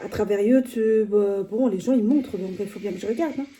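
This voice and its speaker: A woman speaks at a moderate pace. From Portugal. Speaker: vlogger. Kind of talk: casual vlog talk. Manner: hesitant, many fillers.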